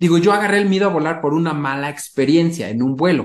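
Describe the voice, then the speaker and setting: This man has a normal speaking voice at a fairly high pitch. He speaks fairly quickly with ordinary pitch variation. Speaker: entrepreneur and airline pilot. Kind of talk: interview conversation.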